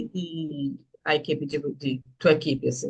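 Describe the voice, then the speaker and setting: A woman with a Recife accent speaks at a very slow pace. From Recife, northeast Brazil. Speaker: student asking a question. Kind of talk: live Q&A question. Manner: halting.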